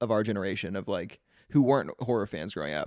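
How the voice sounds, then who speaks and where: In a very clean recording with a silent background and a dry, close sound with no echo, a man talks at a very fast pace with vocal fry. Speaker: podcast host. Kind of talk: casual chat.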